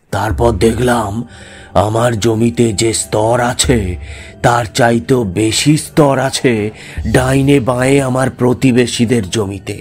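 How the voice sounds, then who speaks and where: With clear music in the background, a put-on character voice moves at a fairly slow pace. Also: man, medium pitch for a man. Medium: audio drama. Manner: secretive, low-voiced.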